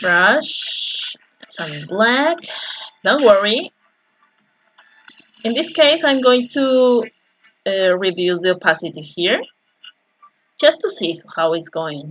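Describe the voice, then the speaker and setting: This woman has a Spanish accent and a medium pitch, with very wide pitch swings. She speaks at a very slow pace and leaves long, frequent pauses. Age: 30s. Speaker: artist and drawing teacher. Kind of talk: live-stream painting tutorial. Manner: halting.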